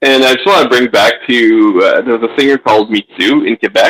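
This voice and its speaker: Moderate-paced speech from a man with a Franco-Ontarian accent, ordinary pitch variation, and a dry, close sound with no echo. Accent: Franco-Ontarian Canadian English. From Franco-Ontarian community, Canada. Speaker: guest. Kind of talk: casual chat.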